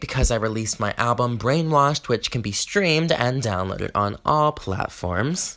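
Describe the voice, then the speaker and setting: A man with a plain, everyday voice speaks at a medium pitch with an American accent. The recording is very clean, with a silent background. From US South, Georgia. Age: 20s. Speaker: podcast host, performer and songwriter. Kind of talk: casual solo podcast monologue.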